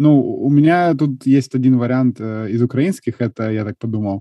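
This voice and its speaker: In a plain, everyday voice, a man speaks at a fairly slow pace, at medium pitch with ordinary pitch variation. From Ukraine, Kharkiv. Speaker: podcast host. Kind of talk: casual chat.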